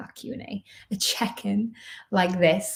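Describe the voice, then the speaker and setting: A somewhat breathy voice with a slight Irish accent. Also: woman. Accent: subtle Irish. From Ireland. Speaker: professional dancer and online dance coach. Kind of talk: live-stream Q&A chat. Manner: chatty, filler-heavy.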